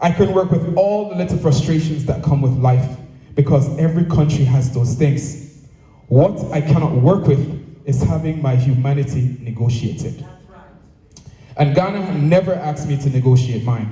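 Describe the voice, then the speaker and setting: Fairly high male speech at a moderate pace, audible echo from the room, ordinary variation in pitch. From Jamaica. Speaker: association president. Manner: formal.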